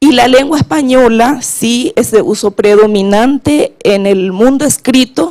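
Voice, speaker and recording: This woman's voice is fairly high-pitched, with ordinary pitch variation. She speaks at a fairly slow pace. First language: Guarani (speaking Spanish). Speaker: government official on language policy. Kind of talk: conference panel talk. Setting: conference panel.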